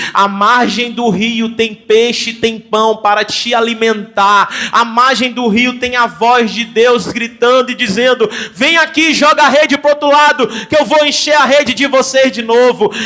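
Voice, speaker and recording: In a Brazilian accent, a man projects a raised voice at an extremely high pitch, fairly slow yet with hardly any pauses, his tone animated against noticeable background noise. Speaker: pastor. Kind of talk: sermon.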